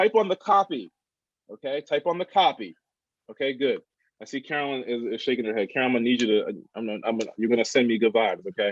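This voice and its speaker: A man speaks very fast at medium pitch with lively intonation and a mid-Atlantic accent. The sound is dry and close, without echo. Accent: mid-Atlantic American. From Delaware, US. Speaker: workshop facilitator. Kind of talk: workshop presentation.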